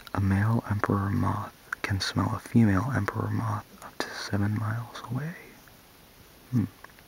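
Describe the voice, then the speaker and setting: A man speaks at a moderate pace with a fairly low pitch and fairly even intonation. Long, frequent pauses break up his speech over noticeable background noise. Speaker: ASMR video creator. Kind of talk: ASMR soft-spoken random facts reading. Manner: soft-spoken, whispery.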